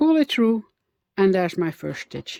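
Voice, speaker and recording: A woman's voice at a medium pitch, dark and mellow in tone, with very wide swings in pitch. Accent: Dutch. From Netherlands. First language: Dutch. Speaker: crochet instructor. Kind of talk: tutorial. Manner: halting, many fillers.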